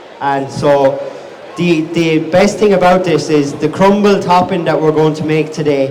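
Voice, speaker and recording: A man with a Wexford accent speaks at a fairly slow pace and a fairly high pitch, with fairly even intonation. Noticeable background noise and audible room echo surround him. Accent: Wexford Irish. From Ireland, County Wexford (southeast). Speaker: chef and restaurant owner. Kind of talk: live cookery demonstration. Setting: outdoor market stage with audience. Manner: casual, repeats and restarts words.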